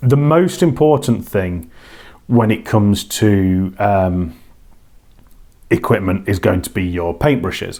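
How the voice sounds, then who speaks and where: A man's dark, mellow, fairly low voice in a British accent, very slow with lively intonation and long, frequent pauses. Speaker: children's author and hobby workshop leader. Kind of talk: casual talk to camera.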